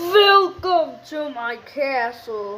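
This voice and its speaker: The speaker puts on a high-pitched character voice. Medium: read story. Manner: proud, grandiose, cackling.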